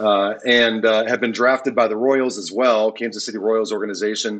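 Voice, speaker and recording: Speaking at a moderate speed, a man uses a fairly low voice. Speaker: pastor, remote podcast guest. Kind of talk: interview answer. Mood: relaxed, lightly humorous. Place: home room. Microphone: video call.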